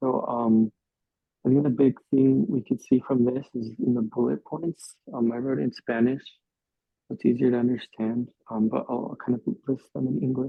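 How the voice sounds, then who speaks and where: Using fairly even intonation, a man with a medium pitch talks at a fairly slow pace. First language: English (speaking Spanish). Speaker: youth Bible study teacher. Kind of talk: Bible study discussion. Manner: hesitant, many fillers.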